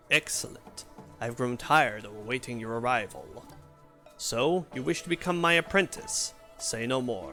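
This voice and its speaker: Doing a put-on character voice at medium pitch, a man speaks over clear music in the background. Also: moderate pace. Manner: wise, welcoming.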